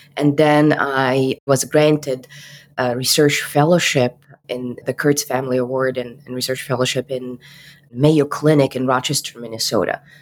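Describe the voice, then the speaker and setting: The speaker has an Arabic accent and a moderate pace. The intonation is flat and monotone. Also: woman, very deep, low pitch for a woman. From Egypt, Cairo. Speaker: physician. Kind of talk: interview.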